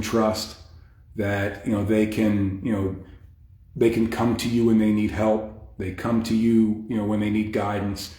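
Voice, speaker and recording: The man's dark, mellow voice comes out somewhat breathy at a moderate pace, with audible echo from the room. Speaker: fitness coach. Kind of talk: casual live stream talk. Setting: hotel stairwell, Facebook live. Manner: quiet, talking low; hesitant, many fillers.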